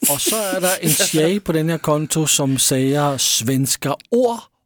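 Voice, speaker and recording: Speaking with a strong Danish accent, a man swings his pitch very widely. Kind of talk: casual chat.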